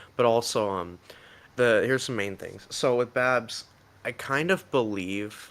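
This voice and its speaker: Fairly even intonation from a man, with noticeable noise in the background. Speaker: stream guest. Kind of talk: casual chat. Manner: halting.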